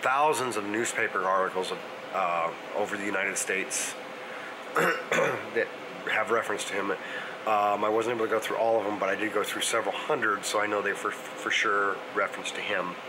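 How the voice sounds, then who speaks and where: Fairly quick male speech with ordinary pitch variation over noticeable background noise. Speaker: family history vlogger. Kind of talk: casual vlog chat. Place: home room. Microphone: phone near.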